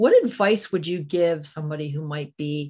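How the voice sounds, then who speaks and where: At a moderate pace, the speaker has an unremarkable speaking voice with ordinary pitch variation. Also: woman. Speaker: podcast host. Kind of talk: interview, podcast intro and outro.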